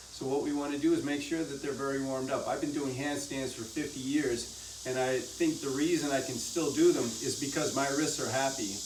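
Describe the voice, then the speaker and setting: A man's fairly high, flat, monotone voice at a fairly quick pace, with audible room echo and noticeable background noise. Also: hardly any pauses. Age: 60s. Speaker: fitness instructor. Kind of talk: tutorial.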